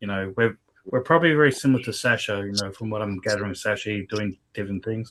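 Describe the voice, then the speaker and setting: Speaking at a very fast pace, a man with a strong Australian accent has a fairly low pitch and ordinary pitch variation. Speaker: business partner. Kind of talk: business video meeting.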